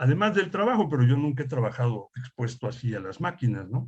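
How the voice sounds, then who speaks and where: Medium-pitched and somewhat breathy, a man's voice is heard. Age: 60s. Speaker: industrial hygienist instructor. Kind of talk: lecture. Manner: conversational, with fillers.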